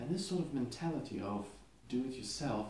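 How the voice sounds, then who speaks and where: A man speaks with a Lithuanian accent and lively intonation. His voice is somewhat breathy, and there is audible room echo. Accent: foreign accent, Lithuanian. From Lithuania, Klaipėda. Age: 20s. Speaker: custom knife maker. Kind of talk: casual video monologue. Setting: home workshop.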